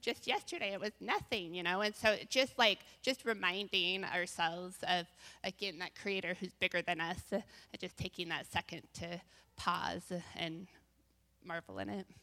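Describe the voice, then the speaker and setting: A woman with an American accent talks at a moderate pace and medium pitch, her tone bright and sharp with vocal fry and fairly even intonation. The recording is very clean, with a silent background. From US Northwest, Bend, Oregon. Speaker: church women's panelist. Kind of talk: testimony.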